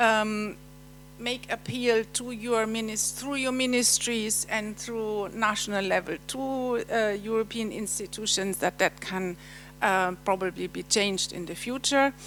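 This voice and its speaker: With a German accent, a woman speaks at a fairly high pitch. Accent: German accent noticeable. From Germany. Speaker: European Commission official presenting. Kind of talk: conference presentation. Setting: seminar hall with audience. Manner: halting, many fillers.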